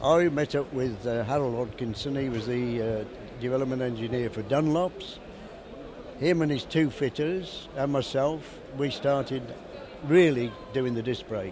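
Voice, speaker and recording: Noticeable background noise sits under a man speaking at a fairly slow pace. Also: ordinary pitch variation, dry sound with no echo. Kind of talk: interview answer. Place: hall. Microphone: handheld.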